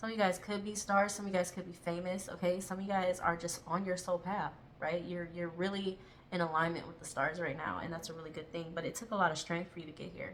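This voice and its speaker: Over noticeable background noise, a woman with a fairly low pitch talks at a very fast pace with fairly even intonation. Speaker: tarot reader. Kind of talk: tarot reading. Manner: fast, tripping over words; casual, with fillers.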